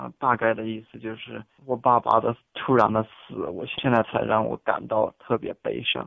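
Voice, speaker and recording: Big shifts in loudness from a man speaking at a moderate pace. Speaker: international student. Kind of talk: interview. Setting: phone call.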